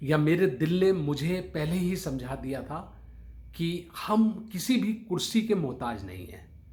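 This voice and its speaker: This man's voice sits high in pitch, with lively intonation and big swings in loudness. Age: 60s. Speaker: motivational speaker. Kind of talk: motivational talk to camera. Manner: formal.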